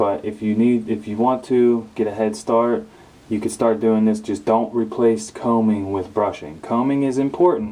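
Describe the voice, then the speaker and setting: With ordinary pitch variation, a man's medium-pitched voice moves along at a moderate pace. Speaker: hair care youtuber. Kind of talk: tutorial. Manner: hesitant, many fillers.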